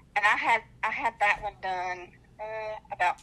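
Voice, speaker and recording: A woman with a slight Southern US accent speaks in a bright, sharp tone. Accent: slight Southern twang. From North Carolina. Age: 40s. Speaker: dialysis patient. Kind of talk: personal testimony.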